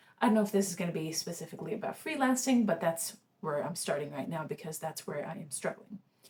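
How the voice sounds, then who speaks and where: This woman's voice sits fairly low in pitch and sounds somewhat breathy. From Sweden. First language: Swedish. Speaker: freelancer vlogger. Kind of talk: casual vlog monologue. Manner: halting, many fillers and restarts.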